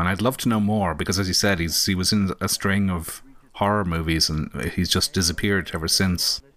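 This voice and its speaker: In a very clean recording with a silent background, a man speaks with a very deep, low pitch. His intonation is fairly even, and his pace is fairly quick. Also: hardly any pauses, very even loudness. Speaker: podcast co-host. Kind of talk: film commentary, casual chat.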